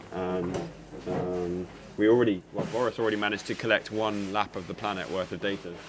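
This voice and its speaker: Over music in the background, a man with a southern English accent talks at a fairly quick pace and a fairly low pitch in monotone, flat intonation. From southern England, Surrey. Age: 20s. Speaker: professional sailor. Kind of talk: casual chat; interview. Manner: halting.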